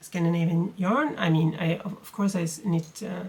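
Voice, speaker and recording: A woman speaks with a Swedish accent at a medium pitch. Her voice is somewhat breathy, with fairly even intonation. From Sweden. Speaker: knitting podcaster. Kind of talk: casual vlog talk. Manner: halting, many fillers.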